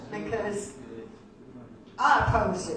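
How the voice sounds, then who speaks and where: Over noticeable background noise and audible room echo, a woman with an American accent talks at a fairly slow pace. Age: 70s. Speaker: cannabis activist. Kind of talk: speech to a gathering. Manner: halting, repetitive.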